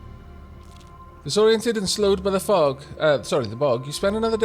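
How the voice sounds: A natural reading voice carries the words. The intonation is lively.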